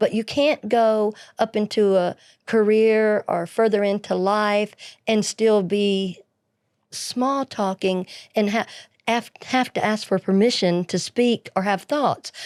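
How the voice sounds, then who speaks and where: In an Alabama accent, a woman with a fairly high pitch speaks at a very slow pace with fairly even intonation and very even loudness, on a very clean, silent-background recording that is dry and close with no echo. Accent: Southern US (Alabama). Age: 60s. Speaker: podcast co-host, pharmacist. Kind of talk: casual chat.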